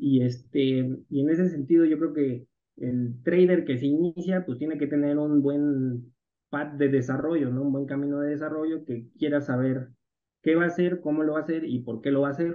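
With a plain, everyday voice, a man talks at a moderate pace in a fairly high pitch and fairly even intonation. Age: 30s. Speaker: algorithmic crypto trader and entrepreneur. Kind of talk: interview conversation.

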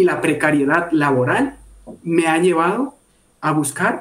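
The man's voice is high-pitched. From Bogotá, Colombia. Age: 20s. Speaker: product and services engineer. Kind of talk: casual interview. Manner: halting, repeats words.

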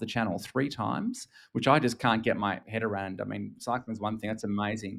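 Male speaker, Australian accent. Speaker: technology business executive. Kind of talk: interview. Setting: remote call from home.

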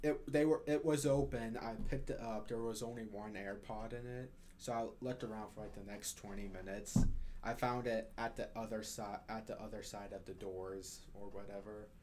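A man's ordinary speaking voice, medium in pitch, at a moderate pace. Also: ordinary pitch variation. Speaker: college student co-host. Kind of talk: casual chat.

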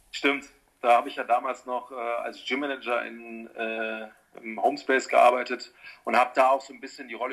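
A man talks at a fairly quick pace. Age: 40s. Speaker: personal trainer. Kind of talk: casual chat.

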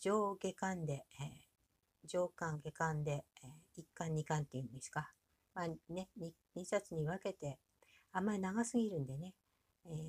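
With a relaxed tone and a somewhat breathy, fairly low pitch, a woman talks at a moderate pace, using ordinary pitch variation and long, frequent pauses. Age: 60s. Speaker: podcaster and aspiring author. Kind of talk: casual monologue. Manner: many fillers, relaxed pace.

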